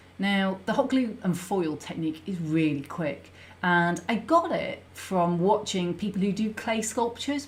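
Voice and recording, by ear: A woman's fairly low pitch with lively intonation at a fairly slow pace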